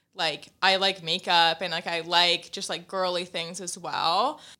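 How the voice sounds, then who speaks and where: A woman with an American accent speaks in a bright, sharp tone and a fairly low pitch on a very clean recording with a silent background. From US West Coast, San Francisco Bay Area. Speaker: entrepreneur, skincare brand founder. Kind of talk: casual interview chat. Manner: laughs often, casual filler-heavy speech.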